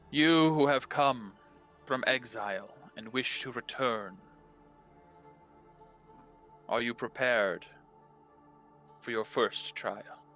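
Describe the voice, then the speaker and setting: Over background music, a man puts on a booming character voice at medium pitch, moving at a fairly slow pace with long, frequent pauses. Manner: booming, echoing, all around.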